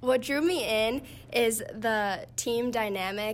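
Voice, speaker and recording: A woman talks at a fairly high pitch. She has an ordinary speaking voice. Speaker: college gymnast. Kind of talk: interview.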